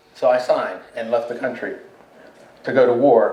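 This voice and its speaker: There is audible room echo and noticeable background noise. Through it, a man with an American accent speaks at a medium pitch. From Pittsburgh, Pennsylvania. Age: 70s. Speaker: poet and war veteran. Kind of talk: panel discussion. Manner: reflective, with frequent fillers.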